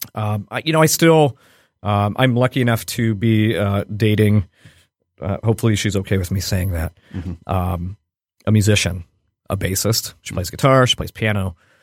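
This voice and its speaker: With a dry, close sound with no echo and a very clean recording on a silent background, a man speaks at a fairly low pitch and a moderate pace with ordinary pitch variation. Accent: slight Midwestern. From Cleveland, Ohio, US Midwest. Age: 40s. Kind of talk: casual interview chat. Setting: studio.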